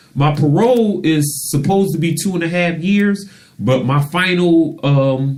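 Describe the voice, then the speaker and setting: A man talks at a fairly slow pace in a normal speaking voice. His intonation is lively. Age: 40s. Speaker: radio show host and author. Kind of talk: casual interview chat.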